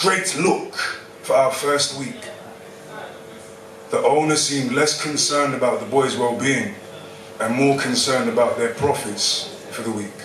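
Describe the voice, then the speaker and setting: In a London accent, a man speaks at a fairly high pitch with lively intonation and long, frequent pauses. Noticeable background noise and audible room echo fill the recording. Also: moderate pace. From London, Hackney. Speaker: spoken word poet. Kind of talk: spoken word performance. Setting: stage with audience.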